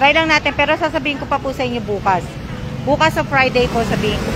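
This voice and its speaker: A woman at a very fast pace with lively intonation, over noticeable background noise. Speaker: vlogger. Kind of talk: live stream chat. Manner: hesitant, many fillers.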